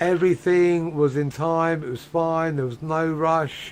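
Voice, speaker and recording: The speaker is a man. He has an English accent. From England. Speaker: video game streamer. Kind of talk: casual chat.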